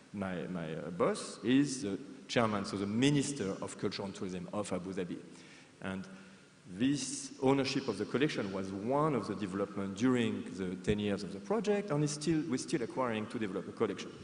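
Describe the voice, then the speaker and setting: A man with a French accent speaks at a fairly low pitch and a fairly quick pace. His intonation is lively, and audible room echo surrounds the recording. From France. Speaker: museum professional. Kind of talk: conference presentation. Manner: hesitant, many fillers and repetitions.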